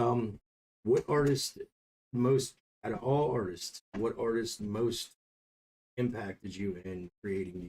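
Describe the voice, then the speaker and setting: Somewhat breathy and dark, mellow in tone, a man talks at a medium pitch with ordinary pitch variation. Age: 30s. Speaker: youtube interviewer and reactor. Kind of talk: casual interview.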